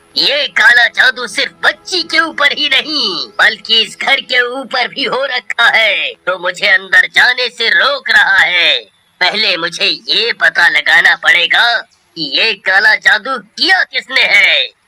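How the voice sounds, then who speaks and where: A cartoonish character voice, high-pitched, at a fairly slow pace. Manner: solemn, authoritative.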